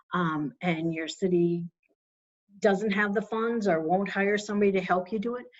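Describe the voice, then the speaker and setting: A woman speaks in a plain, everyday voice with an American accent. Her medium pitch shows ordinary variation at a moderate pace. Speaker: municipal finance trainer. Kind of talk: webinar presentation. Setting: online webinar.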